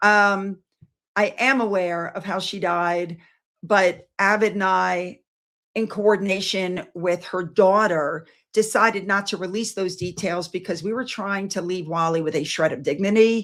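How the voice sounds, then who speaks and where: An ordinary speaking voice moves at a fairly slow pace with fairly even intonation. The recording is very clean, and the background is silent. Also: woman, medium pitch for a woman. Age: 60s. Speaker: YouTube commentator. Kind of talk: livestream chat with viewers.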